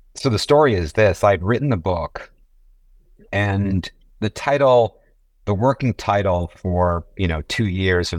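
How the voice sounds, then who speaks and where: The recording is very clean with a silent background and a dry, close sound with no echo as a man speaks at a fairly slow pace. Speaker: physician and healthcare author. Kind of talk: casual interview. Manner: halting, many fillers.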